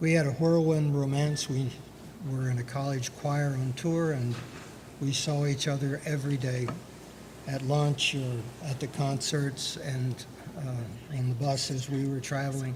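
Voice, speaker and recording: A soft-spoken man talks at a fairly slow pace in a monotone, flat intonation, his fairly high pitch carrying audible room echo. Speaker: birth father on adoption panel. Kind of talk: personal testimony on a panel. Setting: conference panel with audience.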